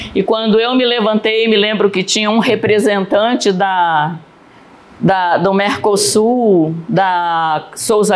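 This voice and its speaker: There is noticeable background noise and audible room echo as a woman talks in a fairly high pitch with ordinary pitch variation. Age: 70s. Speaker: missionary preacher. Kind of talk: sermon. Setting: church service.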